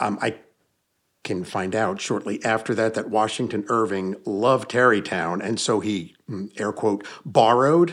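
A man with a plain, everyday voice and an American accent talks at a moderate pace with a fairly low pitch and ordinary pitch variation, on a very clean recording with a silent background. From US Northeast (Hudson Valley, New York). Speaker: paranormal investigator and author. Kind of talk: casual interview. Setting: in person, home basement.

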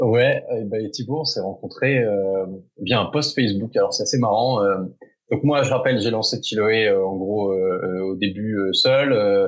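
Very slowly, a man speaks at a medium pitch with ordinary pitch variation. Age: 30s. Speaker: entrepreneur, founder of an outdoor adventure community. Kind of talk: interview. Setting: remote recording. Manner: hesitant, many fillers.

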